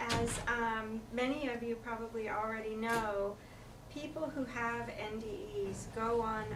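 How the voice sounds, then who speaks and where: A woman with an American accent, recorded with audible room echo and noticeable background noise. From Pennsylvania. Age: 50s. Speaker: near-death experiencer speaker. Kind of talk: reading aloud prepared talk. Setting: talk before an audience. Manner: halting.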